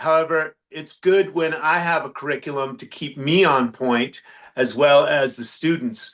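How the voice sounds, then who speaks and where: An ordinary speaking voice from a man at a fairly slow pace, with ordinary pitch variation and a quiet background. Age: 60s. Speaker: health and longevity coach. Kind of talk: podcast interview.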